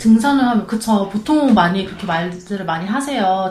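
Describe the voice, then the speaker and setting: A woman speaks at a fairly high pitch with very wide pitch swings. Audible room echo and noticeable background noise surround her. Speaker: hiking club member. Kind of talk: casual chat.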